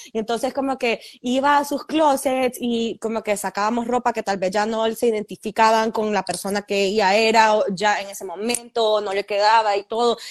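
With a Honduran accent and a fairly high pitch, a woman speaks at a moderate pace with fairly even intonation and hardly any pauses against a quiet background. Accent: Honduran Spanish (voseo). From Honduras. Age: 30s. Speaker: fashion entrepreneur and influencer. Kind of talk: interview.

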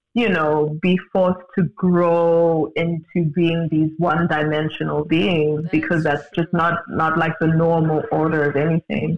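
A fairly high-pitched man with a South African accent, fairly slow pace, hardly any pauses, fairly even intonation and very even loudness. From Johannesburg, South Africa. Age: 20s. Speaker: multidisciplinary artist. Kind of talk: casual interview conversation. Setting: virtual recording, video call.

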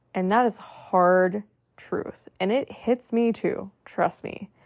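A woman's medium-pitched voice with ordinary pitch variation, in a very clean recording with a silent background. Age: 30s. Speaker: podcast host and healing coach. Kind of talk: solo monologue podcast. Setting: recorded at night.

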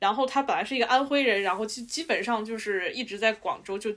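A woman has an unremarkable speaking voice, fairly high in pitch. Her pitch varies in an ordinary way. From Shanxi. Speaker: podcast co-host. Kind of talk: casual chat.

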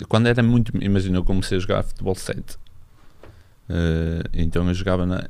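Very deep, low male voice, its intonation fairly even. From northern Portugal, Barcelos. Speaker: professional footballer. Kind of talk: casual chat.

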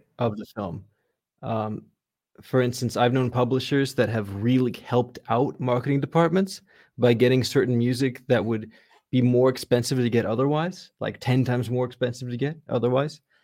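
A man speaks at a moderate pace in a medium pitch, with a dark, mellow tone and ordinary pitch variation. The recording is very clean, with a silent background. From US West Coast, Los Angeles area. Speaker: composer. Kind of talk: casual interview.

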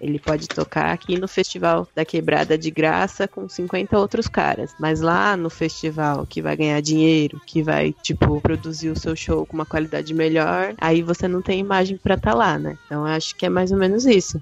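Over music in the background, a woman with a very deep, low pitch speaks at a moderate pace with ordinary pitch variation and hardly any pauses. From interior of São Paulo state. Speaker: hip hop news writer. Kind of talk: casual chat.

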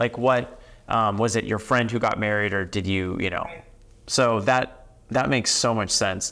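A bright, sharp tone at a moderate pace, with fairly even intonation. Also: man, fairly low pitch for a man. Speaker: podcast host. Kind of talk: interview.

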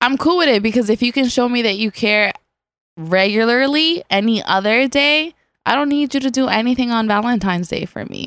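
A woman speaks with a high pitch, an animated tone and lively intonation at a fairly quick pace. The recording is very clean, with a silent background. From Caribbean, raised in the Bronx, New York. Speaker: podcast guest. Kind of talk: casual chat.

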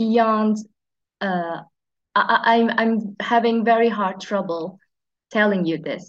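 Speaking at a very slow pace, a woman uses a fairly high pitch and fairly even intonation. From Turkey. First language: Turkish. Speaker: pharmacist. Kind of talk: interview. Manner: halting.

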